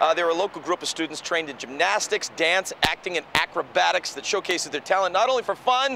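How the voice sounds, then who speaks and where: Over noticeable background noise, a man with a high pitch talks at a very fast pace. His tone is upbeat. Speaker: news anchor. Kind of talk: morning show host banter. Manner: upbeat, chatty.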